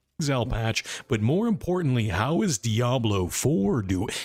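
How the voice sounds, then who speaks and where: At a moderate pace, a man puts on a character voice with a medium pitch. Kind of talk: announcer. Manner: polished, on-demand.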